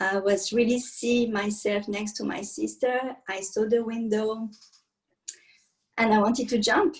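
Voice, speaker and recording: A woman with a French accent talks at a very slow pace in a somewhat breathy voice of fairly high pitch. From France (countryside). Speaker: meditation and yoga teacher. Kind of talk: interview testimony.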